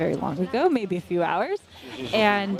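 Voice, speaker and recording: Over noticeable background noise, a woman with an American accent speaks at a moderate pace. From US. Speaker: trail running commentator. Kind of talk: live commentary. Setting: outdoors at race aid station.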